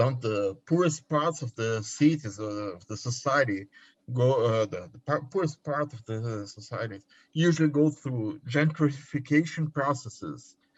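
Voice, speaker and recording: Fairly slow, somewhat breathy speech from a man in a Brazilian accent at medium pitch. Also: ordinary pitch variation, quiet background. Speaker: PhD student. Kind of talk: reading aloud a question.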